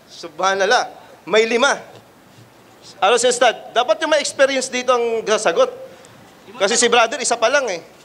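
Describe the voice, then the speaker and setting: Over noticeable background noise, a man talks at a fairly quick pace with an extremely high pitch. His pitch variation is ordinary, and he takes long, frequent pauses. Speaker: Islamic street preacher. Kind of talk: street preaching Q&A.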